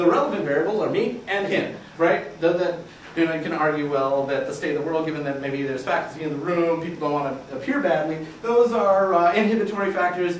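Talking at a very fast pace, a man has a high pitch. Light background noise and audible room echo surround him. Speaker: researcher. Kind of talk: research presentation to a live audience. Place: classroom.

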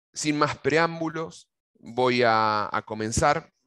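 With an Argentine accent, a man talks in a bright, sharp tone and lively intonation against a quiet background. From Argentina. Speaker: agronomist giving a technical webinar; presenter. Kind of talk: webinar lecture; lecture. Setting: video call. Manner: halting, frequent fillers and repetitions. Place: office. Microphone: headset.

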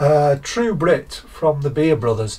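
Somewhat breathy, the man speaks at a fairly slow pace with ordinary pitch variation. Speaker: beer reviewer. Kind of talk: casual vlog chat. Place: garage.

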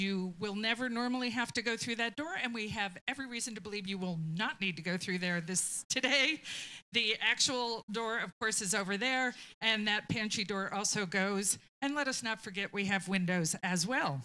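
Speaking at a moderate pace, a woman uses ordinary pitch variation. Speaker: library staff host. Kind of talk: event introduction. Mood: warm, lightly humorous. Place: meeting room. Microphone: handheld.

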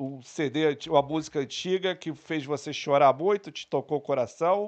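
This man's pitch sits fairly high for his sex and varies in an ordinary way. He speaks at a moderate pace. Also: quiet background. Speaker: podcast co-host. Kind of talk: casual chat. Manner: joking, playful. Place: studio. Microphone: studio mic.

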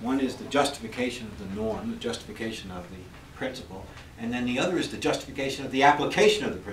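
A man talks very fast, his loudness swinging widely, with audible room echo and light background noise. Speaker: university professor. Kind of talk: lecture. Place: classroom.

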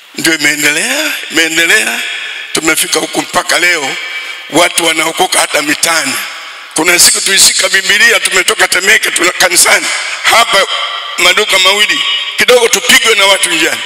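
In a room with audible echo, a man talks at a high pitch and a moderate pace. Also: ordinary pitch variation. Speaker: preacher. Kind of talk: sermon. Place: church. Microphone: handheld.

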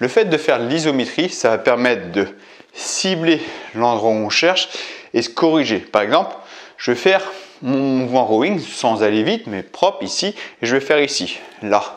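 This man talks at a moderate pace, broken by long, frequent pauses. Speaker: fitness coach. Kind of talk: tutorial. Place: gym. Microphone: camera far.

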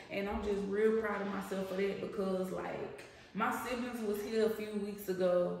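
A woman's fairly slow, monotone, flat delivery in a room with strong echo. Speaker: lifestyle vlogger. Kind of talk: casual vlog chat. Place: kitchen. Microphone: camera far.

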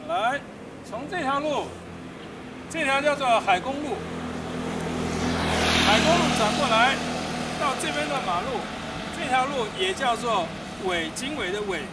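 A man at a fairly slow pace, with long, frequent pauses, over loud background noise. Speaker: military village tour guide. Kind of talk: guided walking tour talk. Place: street. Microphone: camera far.

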